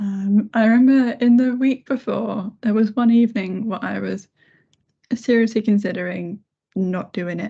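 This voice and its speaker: Quiet and somewhat breathy, a woman speaks at a fairly high pitch with a dark, mellow tone and fairly even intonation. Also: moderate pace. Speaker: head of accessibility. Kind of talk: casual chat.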